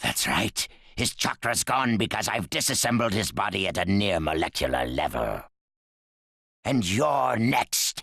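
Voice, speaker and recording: A man's fairly low put-on character voice at a moderate pace, with very wide pitch swings. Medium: short film. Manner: dry, cool.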